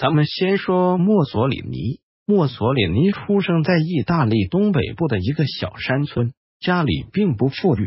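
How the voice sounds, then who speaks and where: A somewhat breathy man with a fairly high pitch speaks at a fairly slow pace, his pitch swinging very widely. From China. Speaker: history video narrator. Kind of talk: scripted narration.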